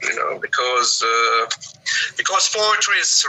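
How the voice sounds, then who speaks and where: Noticeable background noise sits under a man speaking with a Russian accent. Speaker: English teacher. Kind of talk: casual chat.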